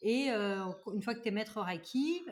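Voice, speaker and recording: The woman's voice is somewhat breathy and fairly high. Her pitch varies in an ordinary way. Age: 30s. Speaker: Reiki master and energy practitioner. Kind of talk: casual chat.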